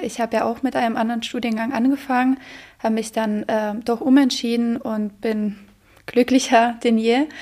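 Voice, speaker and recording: A woman speaks with a Polish accent at a moderate pace. Her intonation is monotone and flat. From Poland. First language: Polish (speaking German). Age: 20s. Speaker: university student. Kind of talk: interview.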